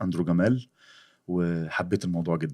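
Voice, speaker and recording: With a very deep, low pitch, a man talks in a very clean recording with a silent background. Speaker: worship singer and voice actor. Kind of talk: casual interview chat.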